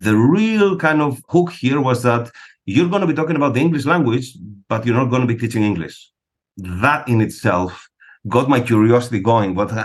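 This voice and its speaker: A man's voice with a Greek accent at very even loudness. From Greece. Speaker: psychologist and test-prep director. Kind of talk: interview.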